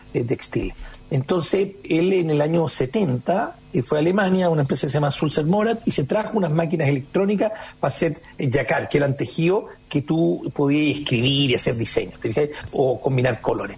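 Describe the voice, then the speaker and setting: Noticeable background noise sits behind a man whose fairly high voice has lively intonation and very even loudness. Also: moderate pace. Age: 50s. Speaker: entrepreneur. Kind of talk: radio interview.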